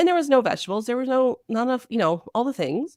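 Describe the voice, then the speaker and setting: A loud, animated woman with a high pitch, on a very clean recording with a silent background. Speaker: naturopathic doctor. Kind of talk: interview. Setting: podcast interview.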